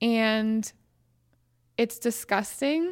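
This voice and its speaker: With an American accent, a woman speaks at a fairly high pitch. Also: very clean recording, silent background. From Western Pennsylvania. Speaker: congressional candidate. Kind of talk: interview.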